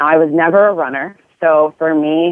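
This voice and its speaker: Her voice sits very deep and low. She is a woman speaking. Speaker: nurse and fitness coach. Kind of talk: casual interview chat.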